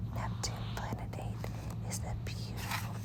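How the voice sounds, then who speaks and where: A woman whispers. Noticeable background noise sits behind her. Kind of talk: children's bedtime story reading, ASMR. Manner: whispered.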